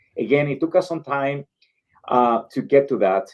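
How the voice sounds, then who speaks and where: The man's voice sits at a medium pitch, with ordinary pitch variation. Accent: Spanish. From El Salvador. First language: Spanish. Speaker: community organization leader. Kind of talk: interview. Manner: halting, many fillers.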